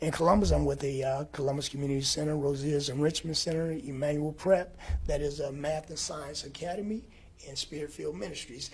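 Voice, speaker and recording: At a fairly quick pace, a man speaks with a fairly high pitch, fairly even intonation and a somewhat breathy tone. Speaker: fitness educator and show host. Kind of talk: presentation.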